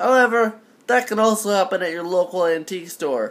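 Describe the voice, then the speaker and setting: Over a silent background in a very clean recording, a man talks at a fairly quick pace in a high pitch with very wide pitch swings. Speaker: vinyl collector and reviewer. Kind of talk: casual talk to camera.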